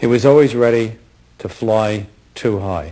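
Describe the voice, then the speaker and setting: Speaking with an American accent, a man at medium pitch has a dark, mellow tone and ordinary pitch variation in a very clean recording with a silent background. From Bronx, New York. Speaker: film director. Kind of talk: award acceptance speech.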